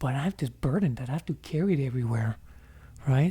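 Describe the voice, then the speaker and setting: Dark and mellow, the tone carries through. There is a somewhat breathy quality to it. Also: man. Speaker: video blogger on psychology and life. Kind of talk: casual monologue with slides. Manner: halting, with fillers.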